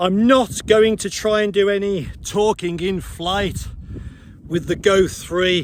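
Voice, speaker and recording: The voice is loud and very slow, with ordinary pitch variation. Noticeable background noise runs underneath. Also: man. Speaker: paragliding instructor. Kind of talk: tutorial. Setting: outdoors. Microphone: action camera mic, poor sound.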